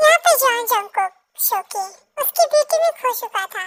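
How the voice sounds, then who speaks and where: A woman with an extremely high pitch talks at a moderate pace with ordinary pitch variation, the sound dry and close with no echo. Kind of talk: fan fiction storytelling. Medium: read story. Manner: chatty, informal, mixing English words.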